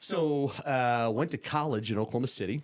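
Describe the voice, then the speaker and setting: A man talks with a Midwestern accent. The recording is very clean, with a silent background. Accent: Midwestern tone. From upstate New York. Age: 40s. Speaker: podcast guest, insurance businessman. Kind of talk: casual interview chat.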